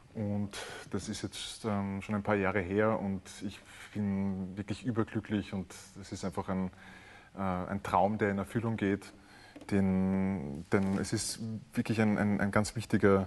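At a very slow pace with long, frequent pauses, a man speaks in a fairly low, monotone, flat voice. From Austria, Vienna. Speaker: cellist and composer. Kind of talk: interview.

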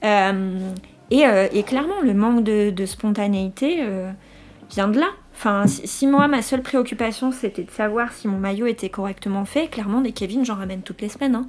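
A woman has a normal speaking voice, fairly high-pitched, with ordinary pitch variation. Her pace is moderate. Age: 30s. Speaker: dental technology trainer sharing eczema experience. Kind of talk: testimony.

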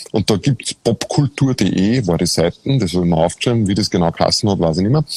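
Lively intonation in an Austrian accent, with a dry, close sound and no echo. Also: man. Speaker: podcast host. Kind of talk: casual conversation. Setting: outdoors in a castle courtyard, video stream.

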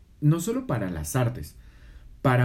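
Somewhat breathy, a man talks. His tone is dark and mellow. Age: 30s. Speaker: podcast co-host. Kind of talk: casual chat.

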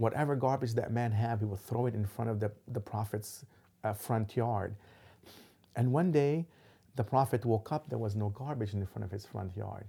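A man talks in a dark, mellow tone that is somewhat breathy, with ordinary pitch variation. The recording is very clean, with a silent background. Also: medium pitch for a man, moderate pace. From Lebanon. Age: 50s. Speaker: imam. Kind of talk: interview. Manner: halting, many fillers.

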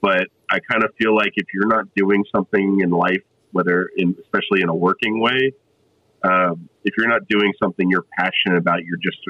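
This man has an unremarkable speaking voice, fairly low in pitch, with an American accent, fairly even intonation and a fairly quick pace. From South Florida. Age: 30s. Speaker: coffee roaster. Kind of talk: casual chat.

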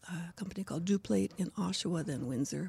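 A woman's fairly low voice, fairly quick, with vocal fry. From Scotland. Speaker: actress and local heritage advocate. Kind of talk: interview conversation.

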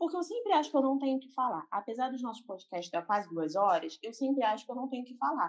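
This woman's high-pitched voice moves through very wide pitch swings. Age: 20s. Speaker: graphic designer. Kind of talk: casual chat. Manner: animated.

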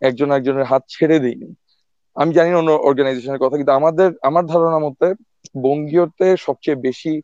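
Intonation stays fairly even. It is an ordinary speaking voice. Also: man, fairly high pitch for a man. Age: 30s. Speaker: epidemiologist and association volunteer. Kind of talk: casual interview.

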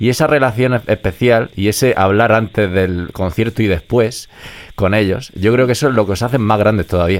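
In a normal speaking voice, a man talks at a moderate pace with a fairly low pitch and ordinary pitch variation. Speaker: radio host. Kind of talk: radio interview.

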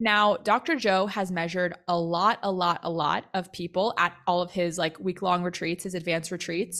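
The tone is animated, enthusiastic, bright and sharp. It moves at a moderate pace with hardly any pauses. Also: woman, fairly low pitch for a woman. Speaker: podcast host, spiritual mentor and coach. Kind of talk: casual solo podcast episode. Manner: animated, enthusiastic, laughs often; casual, chatty.

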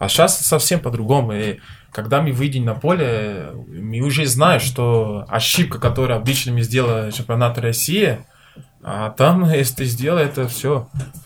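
Somewhat breathy, a man with a Portuguese accent speaks at a medium pitch with ordinary pitch variation. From Brazil, Minas Gerais. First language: Portuguese (speaking Russian). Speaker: professional football goalkeeper. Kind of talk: casual interview chat. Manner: halting.

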